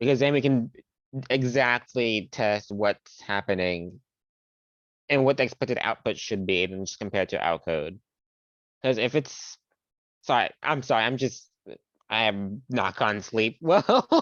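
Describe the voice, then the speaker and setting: A man mumbles at a fairly slow pace, with long, frequent pauses. His pitch is medium and varies in an ordinary way. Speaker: student. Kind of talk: casual chat. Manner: mumbling.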